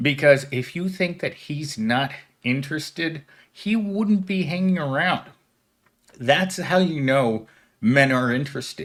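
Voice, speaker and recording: A man's fairly high, lively voice at a fairly slow pace, in a very clean recording with a silent background. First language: not English. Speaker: commentary YouTuber. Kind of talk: reaction commentary.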